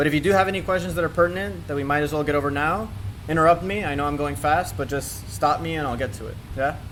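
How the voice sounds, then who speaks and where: Amid audible room echo and noticeable background noise, a man with a fairly high pitch talks very fast, his pitch swinging very widely. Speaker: workshop instructor. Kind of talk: tutorial.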